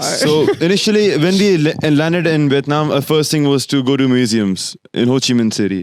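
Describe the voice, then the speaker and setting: This man, with a non-native accent, speaks at a fairly high pitch and a moderate pace, using lively intonation, very even loudness and hardly any pauses. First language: not English. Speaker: podcast co-host. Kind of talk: casual chat. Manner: halting, many false starts.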